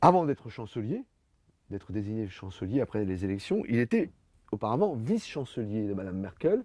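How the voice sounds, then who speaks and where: With a dark, mellow tone and medium pitch, a man talks at a fairly quick pace with lively intonation and long, frequent pauses. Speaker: author presenting his book. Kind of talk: book talk and Q&A. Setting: bookshop event with audience. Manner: hesitant with fillers.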